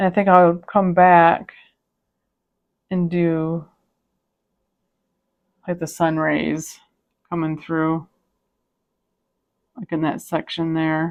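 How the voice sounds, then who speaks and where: Against a quiet background, a soft-spoken woman talks at a very slow pace with long, frequent pauses, a calm tone, monotone, flat intonation and a fairly low pitch. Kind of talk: casual talk to camera. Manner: calm, soft-spoken.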